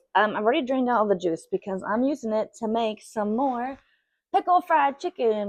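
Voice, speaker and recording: A woman's lively, fairly high-pitched voice in an American accent. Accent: Southern US, varies in strength. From Southern United States. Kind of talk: casual cooking talk to camera.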